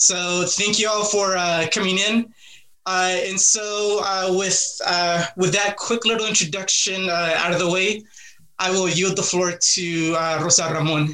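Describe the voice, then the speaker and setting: A man's raised, projected voice, high-pitched and bright and sharp in tone, at a fairly slow pace with monotone, flat intonation and very even loudness. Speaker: university instructor and moderator. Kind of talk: webinar moderation.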